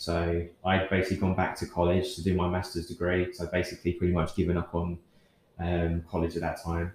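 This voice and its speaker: In a southern English accent, a man speaks at a moderate pace. His voice is very deep and low, and somewhat breathy. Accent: English, southern England. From Kent, South East England. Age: 30s. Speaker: fitness coach. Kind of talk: casual interview.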